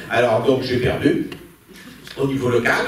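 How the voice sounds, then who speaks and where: The man's moderate pace comes through noticeable background noise and audible room echo. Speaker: activist and panel moderator. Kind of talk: panel debate. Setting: stage with audience. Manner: loud; halting, many hesitations.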